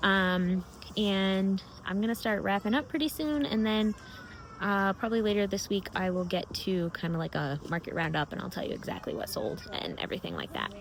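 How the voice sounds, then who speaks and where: A woman speaks with an American accent at a moderate pace, her pitch medium with ordinary variation. Noticeable background noise sits behind her. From Massachusetts, US. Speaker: crochet vlogger and market vendor. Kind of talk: casual vlog. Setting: market booth. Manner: casual, hesitant with fillers.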